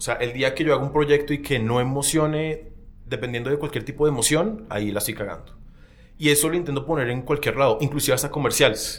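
Room echo is audible. A man speaks very fast at a fairly high pitch with ordinary pitch variation. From Colombia, Barranquilla. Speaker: film director and actor. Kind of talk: casual chat.

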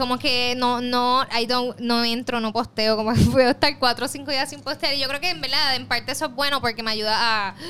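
A woman's high-pitched voice at a fairly quick pace, with ordinary pitch variation and hardly any pauses. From Puerto Rico, west. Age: 20s. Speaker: journalist and influencer. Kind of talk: casual interview. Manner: animated.

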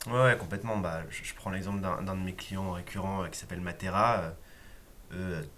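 Audible room echo surrounds a man with a very deep, low pitch. He talks at a moderate pace with fairly even intonation and long, frequent pauses. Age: 30s. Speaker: web agency co-founder and developer. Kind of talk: casual interview. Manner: hesitant with many fillers.

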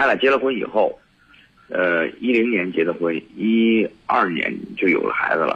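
The man talks at a moderate pace. His loudness stays very even. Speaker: caller. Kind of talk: phone call-in. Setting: phone call. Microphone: voice drifting, not facing the phone.

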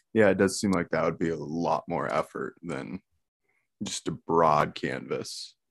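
Speaking at a fairly slow pace, a man uses a very deep, low pitch with vocal fry and ordinary pitch variation, in a dry, close sound with no echo. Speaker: podcast host. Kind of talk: casual interview chat.

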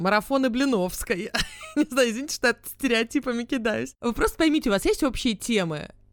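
A woman speaks at high pitch and a fairly quick pace with lively intonation over noticeable background noise. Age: 30s. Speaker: podcast co-host. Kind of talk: casual chat.

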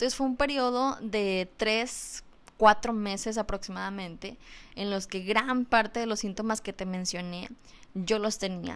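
A woman speaks at a fairly high pitch. Her pace is fairly slow, with ordinary pitch variation. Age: 20s. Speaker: podcast host on mental health. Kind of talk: educational talk. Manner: hesitant, repeats words.

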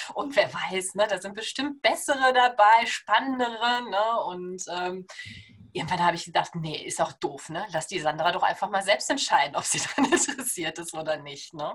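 A woman with a medium-pitched voice speaks at a moderate pace, her loudness swinging widely and her pitch swinging very widely. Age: 30s. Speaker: naturopath. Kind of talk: podcast interview.

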